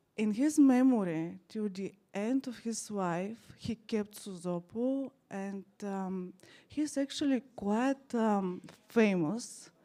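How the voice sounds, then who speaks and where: A woman speaks very slowly in a fairly high voice with a dark, mellow tone. Her pitch varies an ordinary amount. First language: German. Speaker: art historian and documentary filmmaker. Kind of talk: presentation at live event. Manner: halting.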